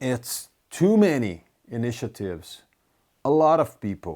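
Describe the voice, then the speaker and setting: Speaking at a fairly slow pace in a Brazilian Portuguese accent, the voice has a dark, mellow tone on a very clean recording with a silent background. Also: man. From Brazil (Curitiba). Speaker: community leader. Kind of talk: personal video update to supporters. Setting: recorded video message. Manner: halting, with self-corrections.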